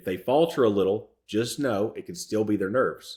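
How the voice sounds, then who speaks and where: A man with a fairly low pitch speaks at a moderate pace with lively intonation in a very clean recording with a silent background. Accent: Southern. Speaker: real estate business coach. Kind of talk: tutorial.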